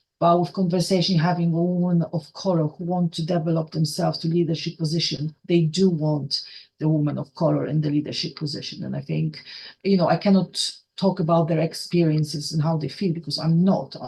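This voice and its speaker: A woman with a Polish accent speaks in a dark, mellow tone. Her voice is somewhat breathy, with monotone, flat intonation. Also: fairly low pitch for a woman, fairly quick pace. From Poland. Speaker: rail operations trainer. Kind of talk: podcast interview. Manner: halting, many repetitions.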